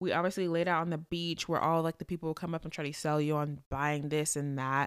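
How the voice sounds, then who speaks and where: A woman with an American accent speaks in an animated tone with a very deep, low pitch. The recording is very clean, with a silent background. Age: 20s. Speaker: podcast host. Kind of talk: casual solo chat.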